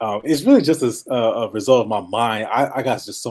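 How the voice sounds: The voice is nasal and moves at a fairly quick pace. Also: man.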